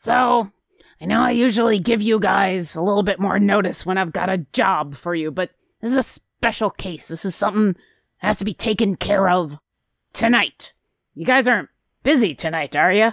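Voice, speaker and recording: Putting on a raspy character voice, a woman speaks at a medium pitch and a moderate pace. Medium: actual play. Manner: brisk, businesslike, a bit impatient.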